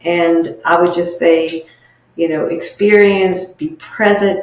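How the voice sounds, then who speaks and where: A woman with a fairly low pitch speaks with fairly even intonation, and audible room echo surrounds her voice. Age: 60s. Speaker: social worker. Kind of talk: interview.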